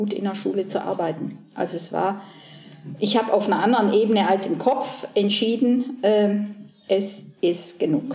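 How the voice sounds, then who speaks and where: Over music in the background, a woman at medium pitch talks at a fairly slow pace with audible room echo. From southern Germany. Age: 60s. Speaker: painter. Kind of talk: casual interview. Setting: artist's studio. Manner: hesitant, many fillers.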